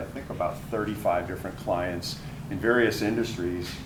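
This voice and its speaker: Audible room echo and noticeable background noise surround a man with a very deep, low pitch. He talks at a moderate pace with fairly even intonation. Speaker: panel moderator, finance executive. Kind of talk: panel introduction at live event. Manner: loud.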